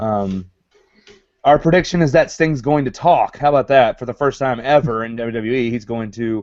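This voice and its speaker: This man speaks at a medium pitch with a Southern US accent. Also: ordinary pitch variation, moderate pace. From US South. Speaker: wrestling show host. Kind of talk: live show discussion.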